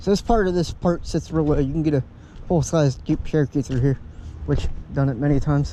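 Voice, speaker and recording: A man's fairly high-pitched voice with a dark, mellow tone, very even loudness, ordinary pitch variation and a fairly quick pace. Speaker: outdoor vlogger. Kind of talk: casual vlog narration. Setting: outdoors by a river.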